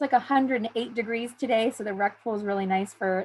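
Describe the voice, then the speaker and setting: A woman with an American accent and a fairly high pitch, ordinary pitch variation, on a very clean recording with a silent background. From southern California (San Diego). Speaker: university admissions advisor. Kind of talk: information session presentation. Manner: fast; hesitant with frequent fillers.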